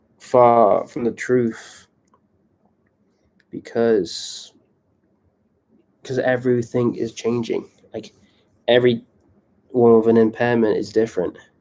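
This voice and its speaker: A man's medium-pitched, dark and mellow voice in a British accent, flat and monotone in intonation. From England. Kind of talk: live stream monologue. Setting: live stream on laptop. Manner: casual, many fillers. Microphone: laptop.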